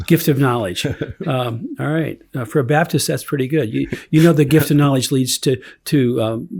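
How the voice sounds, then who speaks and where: A man with a fairly high, somewhat breathy voice speaks at a moderate pace with ordinary pitch variation, on a very clean recording with a silent background. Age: 70s. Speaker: lawyer, organization co-founder. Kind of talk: casual chat. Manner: halting, many fillers.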